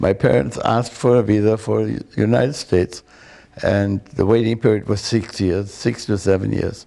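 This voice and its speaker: A man with a German accent at a moderate pace, dark and mellow in tone, with vocal fry and ordinary pitch variation. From Germany. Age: 80s+. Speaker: war veteran and memoir author. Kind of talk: interview testimony. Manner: halting.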